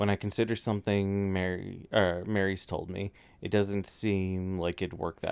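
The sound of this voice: What you hear is an unforced reading voice.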